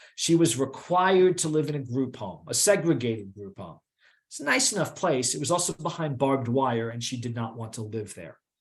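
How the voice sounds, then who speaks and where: Against a quiet background, a man with an American accent talks fairly quickly at medium pitch, somewhat breathy, with lively intonation. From New York. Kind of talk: lecture. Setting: online presentation. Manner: fast.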